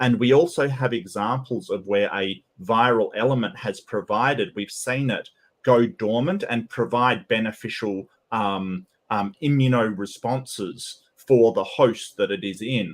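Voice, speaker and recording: On a very clean recording with a silent background, a man speaks with an Australian accent. His pitch is medium with ordinary variation, and his pace is fairly slow. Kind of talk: debate. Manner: halting, many fillers.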